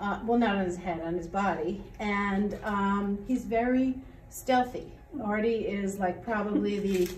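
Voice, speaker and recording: A woman at a moderate pace with lively intonation, audible room echo and light background noise. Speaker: teacher. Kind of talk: casual Q&A chat. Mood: playful, light-hearted. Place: classroom.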